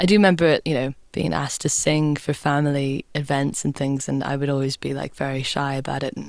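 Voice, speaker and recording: A woman speaks with a very deep, low pitch and fairly even intonation. She hardly pauses at all. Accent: British. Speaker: folk singer-songwriter. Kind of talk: casual interview. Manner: hesitant, many fillers.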